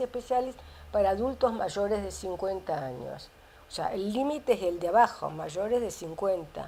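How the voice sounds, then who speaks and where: Her tone is dark and mellow. This woman speaks with lively intonation. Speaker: biologist and author. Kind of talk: interview. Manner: halting.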